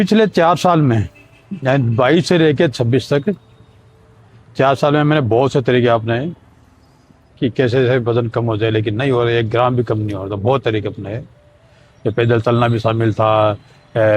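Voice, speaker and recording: Somewhat breathy, a man at a medium pitch speaks with ordinary pitch variation and long, frequent pauses. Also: moderate pace. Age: 60s. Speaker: vlogger sharing weight loss journey. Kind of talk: casual vlog monologue.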